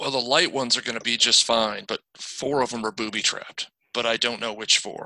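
A man puts on a raspy character voice. It sits at medium pitch. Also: fairly quick pace. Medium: actual play. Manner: nervous.

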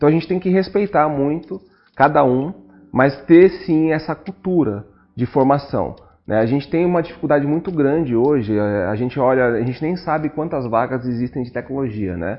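A normal speaking voice with lively intonation at a moderate pace. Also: man, fairly high pitch for a man. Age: 40s. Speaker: technology and innovation head. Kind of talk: casual interview chat.

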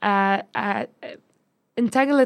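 A woman's fairly high voice with a Lebanese accent at a very slow pace, in a very clean recording with a silent background. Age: 20s. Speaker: marketer and data analyst. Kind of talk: interview. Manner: hesitant, many fillers.

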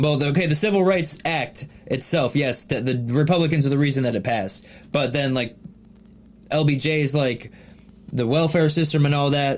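A man with a plain, everyday voice talks at a moderate pace and fairly high pitch, using ordinary pitch variation. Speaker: podcast co-host. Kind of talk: casual chat.

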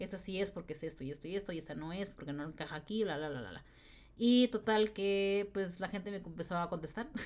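A woman's medium-pitched voice at a very fast pace. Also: ordinary pitch variation. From northern Mexico, Tijuana. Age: 20s. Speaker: podcast host. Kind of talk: casual monologue. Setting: home recording. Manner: stutters when excited.

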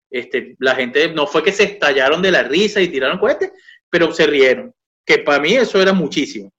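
Speaking at a fairly quick pace, a man has a high pitch, a bright, sharp tone, very wide pitch swings and very even loudness. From Venezuela, Caracas. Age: 40s. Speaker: comedian and humor writer. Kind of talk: casual interview.

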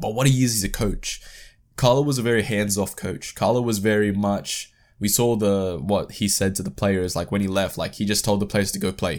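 Speaking at a fairly quick pace with an Australian accent, a man uses a fairly low pitch and ordinary pitch variation in a very clean recording with a silent background. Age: 20s. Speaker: football podcast host. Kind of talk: solo football podcast commentary.

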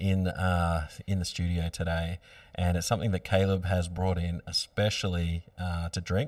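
Speaking at a moderate pace, a man with a very deep, low pitch holds a monotone, flat intonation on a very clean recording with a silent background. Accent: Australian. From Australia, Byron Bay area. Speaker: podcast host. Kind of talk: casual interview. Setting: studio.

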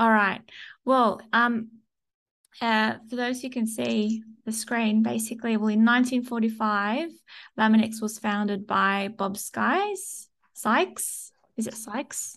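Against a quiet background, a woman with an Australian accent speaks at a very slow pace, her pitch fairly high and her intonation fairly even. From Sydney, Australia. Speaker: corporate podcast host. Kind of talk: casual interview chat. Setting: video call with screen share.

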